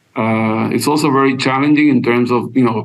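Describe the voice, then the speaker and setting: Audible room echo surrounds a man's voice. He talks at a medium pitch and a fairly quick pace. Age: 60s. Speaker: attorney. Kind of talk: podcast interview, casual chat. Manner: halting, many repetitions.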